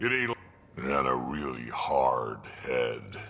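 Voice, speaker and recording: Using a put-on character voice, a man speaks at a very slow pace. His pitch sits very deep and low. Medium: game stream. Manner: blunt, gruff, plain-spoken.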